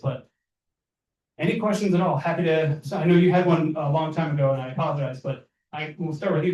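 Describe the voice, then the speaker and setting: A man talks at a very fast pace in a fairly high pitch. His voice is somewhat breathy and his intonation fairly even. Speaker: solar installer presenter. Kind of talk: presentation.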